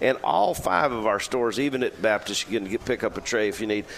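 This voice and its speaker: The speech moves at a fairly quick pace with fairly even intonation against noticeable background noise. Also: man. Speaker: deli representative.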